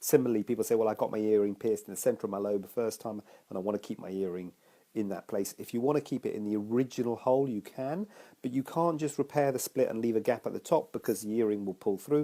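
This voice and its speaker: A man speaks at a very fast pace in a dark, mellow tone. His pitch is medium, with ordinary variation. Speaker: cosmetic surgeon. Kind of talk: live Q&A talk to camera. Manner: casual, hesitant.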